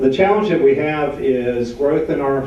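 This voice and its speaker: A man talks at a moderate pace. Noticeable background noise and audible room echo fill the recording. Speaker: utility policy director. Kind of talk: panel presentation. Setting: panel event with audience.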